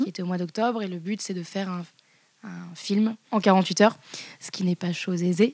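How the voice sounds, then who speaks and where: A woman with a medium pitch speaks in a monotone, flat intonation on a very clean recording with a silent background. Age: 20s. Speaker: live performance communication worker. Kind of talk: casual interview. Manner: halting, many fillers.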